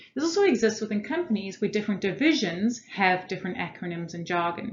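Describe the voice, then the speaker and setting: A woman speaks at a fairly quick pace in a somewhat breathy voice, with audible echo from the room. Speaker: corporate trainer. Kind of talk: lecture. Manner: fast.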